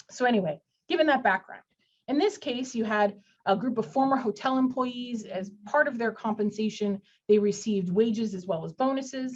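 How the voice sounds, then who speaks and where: This woman has a fairly high, somewhat breathy voice. Her pitch varies in an ordinary way. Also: fairly quick pace. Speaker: employment lawyer. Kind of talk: webinar legal presentation. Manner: fast.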